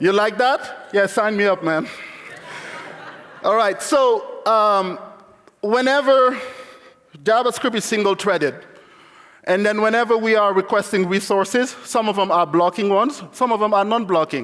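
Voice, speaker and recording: Animated in tone, a man with a high pitch talks at a moderate pace, keeping very even loudness and ordinary pitch variation while leaving long, frequent pauses. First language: not English (English is his third language). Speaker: conference speaker, software developer. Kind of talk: conference talk.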